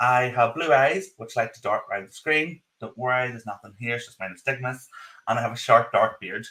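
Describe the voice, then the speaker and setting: A man talks at a very fast pace in a strong Northern Irish accent. His pitch is medium with ordinary variation, and his tone is bright and sharp. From Northern Ireland. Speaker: podcast co-host. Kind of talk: live podcast chat. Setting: video call live stream, in his office.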